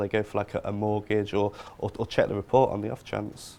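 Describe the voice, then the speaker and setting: A man with an East Midlands accent, fairly low in pitch, at a fairly quick pace. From Nottingham, England. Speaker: fraud victim support worker. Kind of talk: interview.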